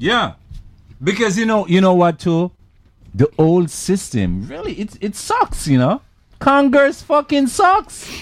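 A man speaks in a high voice. His pitch swings very widely at a fairly slow pace. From Jamaica. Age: 60s. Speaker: artist. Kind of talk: casual chat.

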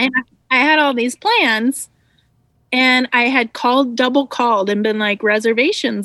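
A woman's high, bright, sharp voice comes through dry and close with no echo, over a quiet background. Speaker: former podcast co-host. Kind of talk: casual chat. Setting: video call. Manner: giggly.

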